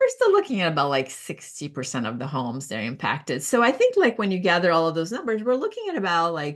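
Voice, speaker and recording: A woman speaks with a Brazilian Portuguese accent over a quiet background. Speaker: professional organizer. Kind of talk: casual talk. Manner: halting, many fillers.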